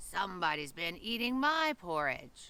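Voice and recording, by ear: Growling in a put-on character voice, the speaker moves at a moderate pace with very wide pitch swings. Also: female-sounding voice.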